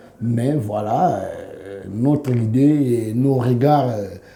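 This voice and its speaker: The voice shows ordinary pitch variation, and audible room echo surrounds it. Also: man. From Democratic Republic of the Congo. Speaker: musician. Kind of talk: interview. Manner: halting.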